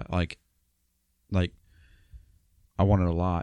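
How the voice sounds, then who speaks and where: A man with an American accent, very deep, low pitch, dark, mellow tone and monotone, flat intonation, in a dry, close sound with no echo over a quiet background. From Ohio, US. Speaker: podcast co-host. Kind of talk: casual chat.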